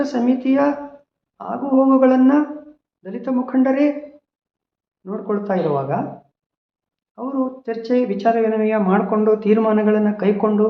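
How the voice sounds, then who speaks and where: A man's high-pitched voice with audible room echo. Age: 60s. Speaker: social activist. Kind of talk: personal testimony. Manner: halting.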